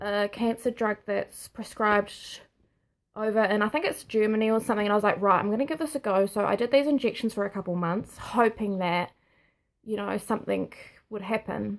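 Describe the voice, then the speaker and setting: In a New Zealand accent, a woman speaks at a fairly quick pace on a very clean recording with a silent background. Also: fairly high pitch for a woman, ordinary pitch variation. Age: 20s. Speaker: nursing student sharing health diagnosis. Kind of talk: personal vlog testimony. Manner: halting.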